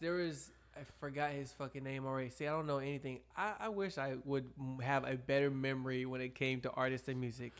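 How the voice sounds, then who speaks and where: A man has an ordinary speaking voice with a fairly high pitch and a fairly quick pace. The recording is very clean, with a silent background. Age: 20s. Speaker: podcast co-host. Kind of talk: casual chat.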